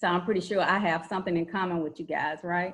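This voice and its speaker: A woman with a fairly low pitch, a Louisiana accent and fairly even intonation. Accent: Louisiana Southern. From Louisiana, US South. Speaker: school counselor. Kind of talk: informal video introduction to students. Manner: friendly, hesitant with fillers.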